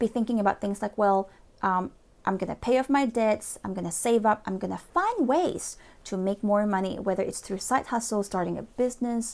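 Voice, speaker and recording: A woman speaks with a Malaysian accent. Her pitch is fairly high. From Malaysia (Borneo). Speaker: motivational speaker and lawyer. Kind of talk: motivational talk to camera. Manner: hesitant, many fillers.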